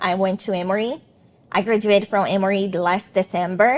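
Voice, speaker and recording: A woman speaks with a strong non-native accent. Her pitch is medium, with ordinary variation. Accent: thick foreign. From Brazil. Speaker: attorney, former student. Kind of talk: interview.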